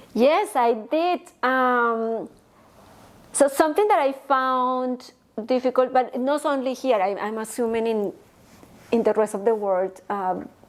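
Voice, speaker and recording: A woman with a Spanish accent speaks at a fairly slow pace with long, frequent pauses. Her high pitch carries lively intonation. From Colombia, Bogota. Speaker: engineer and entrepreneur. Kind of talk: interview. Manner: halting.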